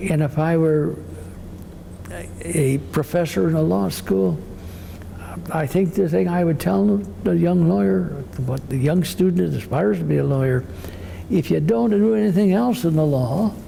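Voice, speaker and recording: With long, frequent pauses, a man speaks at a moderate pace and fairly high pitch, swinging very widely in pitch while his loudness stays very even, over noticeable background noise and audible room echo. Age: 80s+. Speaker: retired judge. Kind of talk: oral history interview. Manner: halting, repeats words.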